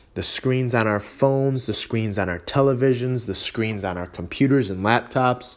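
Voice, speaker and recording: A man with an American accent and a plain, everyday voice speaks at a moderate pace and medium pitch, with ordinary pitch variation and hardly any pauses. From western New York (Holley area). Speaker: fitness podcast host. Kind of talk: casual solo podcast talk. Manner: casual with frequent fillers (um, you know).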